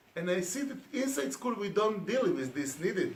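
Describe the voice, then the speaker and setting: In a room with audible echo, a man with a Hebrew accent speaks at a high pitch. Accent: non-native English, Hebrew speaker. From Israel. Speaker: education speaker. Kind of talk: conference talk. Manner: halting.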